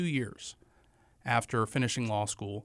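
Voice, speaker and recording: A man with an American accent talks at a moderate pace in an unremarkable speaking voice with fairly even intonation. The recording is very clean, with a silent background. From western North Carolina (Morganton, foothills). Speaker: county commissioner and lawyer. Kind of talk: interview. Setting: radio studio.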